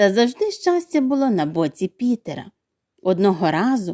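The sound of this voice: Heard against a quiet background is an unforced reading voice.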